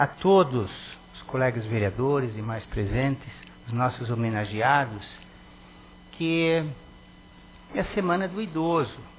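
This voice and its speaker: A man at a medium pitch with lively intonation, fairly slow in pace, over noticeable background noise. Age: 60s. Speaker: city councillor. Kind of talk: reading aloud; ceremonial speech. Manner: hesitant.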